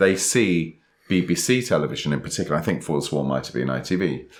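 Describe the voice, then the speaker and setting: A man speaks with vocal fry. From England. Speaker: podcast co-host and author. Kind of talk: casual chat. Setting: recording in person, sitting next to co-host.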